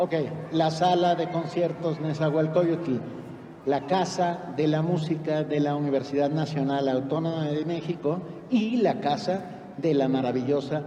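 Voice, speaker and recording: A man with a fairly high voice speaks at a fairly slow pace with ordinary pitch variation, over noticeable background noise and audible room echo. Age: 60s. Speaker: concert narrator. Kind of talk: live narration to children. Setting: concert hall stage with audience. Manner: animated.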